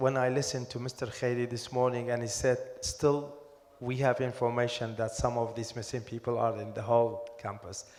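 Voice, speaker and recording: Over noticeable background noise and audible room echo, a man speaks at a fairly quick pace in a medium pitch. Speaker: academic expert on missing persons. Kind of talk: panel discussion. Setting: conference hall with audience. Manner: loud.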